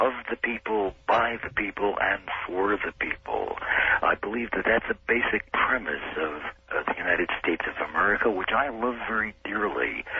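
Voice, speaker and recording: Noticeable background noise fills the clip. Over it, a man talks at a moderate pace. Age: 60s. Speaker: caller. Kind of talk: call-in radio discussion. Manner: hesitant, many fillers.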